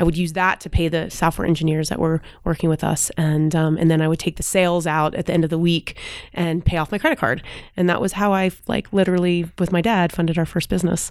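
A woman's fairly low voice at a very fast pace, with fairly even intonation. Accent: American. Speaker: startup executive and mentor. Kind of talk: interview.

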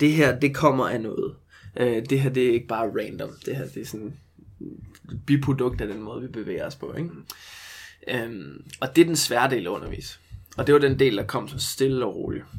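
At a moderate pace, a man speaks at medium pitch with ordinary pitch variation and vocal fry. He leaves long, frequent pauses. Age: 20s. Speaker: movement coach. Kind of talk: casual chat.

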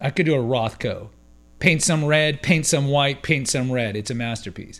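A man speaks in an ordinary speaking voice, fairly high in pitch, at a moderate pace with lively intonation. The recording is very clean, with a silent background. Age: 40s. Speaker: podcast host. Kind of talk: solo commentary monologue.

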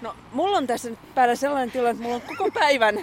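A woman speaks at a very fast pace with a fairly high pitch and lively intonation, over noticeable background noise. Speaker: podcast host. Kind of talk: casual chat.

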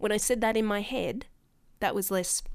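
An Australian accent with ordinary pitch variation, on a very clean recording with a silent background. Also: woman. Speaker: podcast host. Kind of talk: casual chat. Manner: animated.

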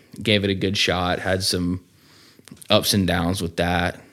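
Here is a man with a Southern US accent. His pitch is very deep and low, and his pace is moderate. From Georgia, US. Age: 20s. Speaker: man in addiction recovery. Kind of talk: testimony.

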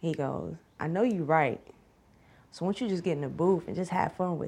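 Fairly quick speech from a woman with a Southern US accent and ordinary pitch variation. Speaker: rapper. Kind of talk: casual interview chat.

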